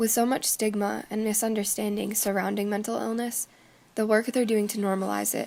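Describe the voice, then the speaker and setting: Over music in the background, a woman speaks fairly quickly at a fairly high pitch, her intonation monotone and flat. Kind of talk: video essay narration.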